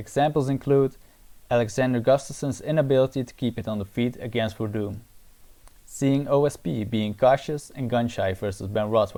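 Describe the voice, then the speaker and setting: Speaking at a moderate pace with a non-native accent, a man uses a dark, mellow tone at medium pitch with ordinary pitch variation. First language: not English. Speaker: MMA analysis YouTuber. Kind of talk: scripted analysis narration.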